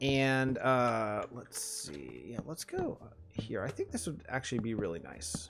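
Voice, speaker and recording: Music plays in the background as a man talks. His medium-pitched voice swings very widely in pitch. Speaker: Minecraft streamer. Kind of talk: casual livestream chat. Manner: fast; animated.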